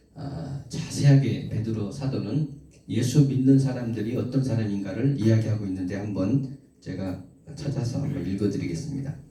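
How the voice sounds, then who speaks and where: A man with a medium pitch speaks at a moderate pace, with ordinary pitch variation and big swings in loudness. Audible room echo and noticeable background noise are present. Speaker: preacher. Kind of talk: sermon.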